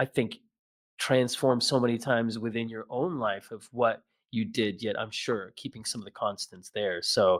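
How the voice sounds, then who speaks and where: A man with an American accent speaks at a moderate pace, his pitch medium and his intonation fairly even. The recording is very clean, with a silent background. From US Midwest, near Chicago. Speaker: podcast host. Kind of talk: casual interview chat. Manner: halting, many restarts and fillers.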